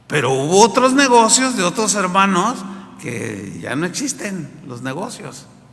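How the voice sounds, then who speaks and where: A man with a high voice speaks with big jumps in volume and very wide pitch swings, against noticeable background noise and audible room echo. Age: 60s. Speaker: pastor. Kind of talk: sermon. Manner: animated.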